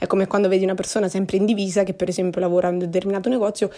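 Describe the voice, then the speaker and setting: A woman speaks with a Marche accent. Her tone is dark and mellow. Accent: Marche regional Italian. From Marche, central Italy. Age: 20s. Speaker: podcaster. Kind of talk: casual monologue. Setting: at home during quarantine. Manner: hesitant, with frequent fillers.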